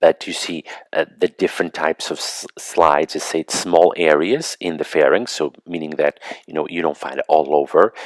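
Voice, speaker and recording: Heard dry and close with no echo, a man speaks at a moderate pace. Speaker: medical school lecturer. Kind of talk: lecture review. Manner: hesitant, many fillers.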